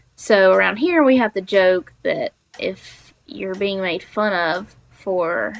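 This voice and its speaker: A woman speaks at a very slow pace. Her pitch is medium and varies in an ordinary way. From Alabama, US South. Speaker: video game streamer. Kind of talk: casual gameplay live stream chat. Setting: home, sitting on the floor with a laptop.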